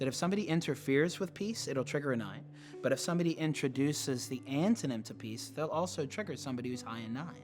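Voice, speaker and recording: With music in the background, a man races along at a very fast pace, his fairly high pitch showing ordinary variation. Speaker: teacher on brain-based personality typing. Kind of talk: lecture.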